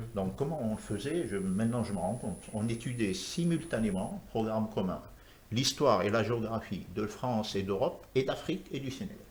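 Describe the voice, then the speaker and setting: A man's medium-pitched, somewhat breathy voice with lively intonation and audible room echo. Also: moderate pace. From Senegal (Rufisque, Dakar). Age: 60s. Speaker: architect. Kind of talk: TV talk show interview.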